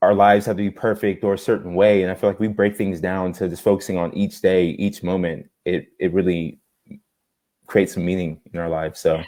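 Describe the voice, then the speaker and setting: A man talks in a very deep, low voice with monotone, flat intonation. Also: fairly quick pace. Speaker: social media creator, inspirational speaker. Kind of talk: casual interview chat. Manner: stutters; halting, repeats words.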